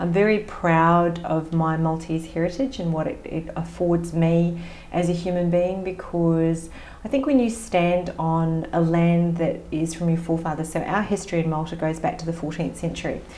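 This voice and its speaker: Speaking at a moderate pace with an Australian accent, a woman talks in a fairly low pitch and fairly even intonation, with audible room echo and noticeable background noise. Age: 50s. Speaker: business coach. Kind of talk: podcast interview.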